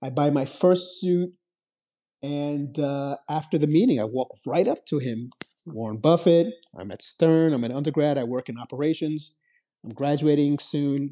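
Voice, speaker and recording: A man's fairly high-pitched voice in a dark, mellow tone, at a moderate pace with ordinary pitch variation, over a quiet background. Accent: American. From New York City, the Bronx. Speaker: finance education nonprofit founder. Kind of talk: interview.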